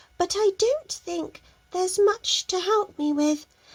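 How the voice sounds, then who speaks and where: A woman puts on a character voice. She speaks at a fairly slow pace. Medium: read story. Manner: polite, earnest.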